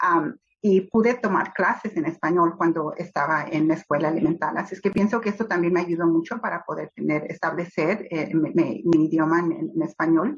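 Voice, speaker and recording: A woman's fairly low-pitched voice at a moderate pace, with ordinary pitch variation. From Los Angeles, US (born Mexico City). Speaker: children's book author. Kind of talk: interview. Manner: hesitant, many fillers.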